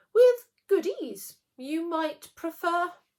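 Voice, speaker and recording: Putting on a character voice, a woman speaks at an extremely high pitch and a very slow pace. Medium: read story. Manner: polite, persuasive.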